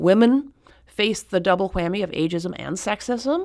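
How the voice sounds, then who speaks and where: A woman with a plain, everyday voice speaks at a moderate pace with lively intonation. The recording is very clean, with a silent background. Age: 60s. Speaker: author and activist. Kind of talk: radio interview.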